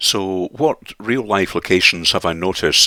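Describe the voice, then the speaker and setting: A man with a Scottish accent speaks in a bright, sharp tone. The recording is very clean with a silent background and a dry, close sound free of echo. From Scotland. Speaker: sim racing YouTuber. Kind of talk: video commentary. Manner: halting.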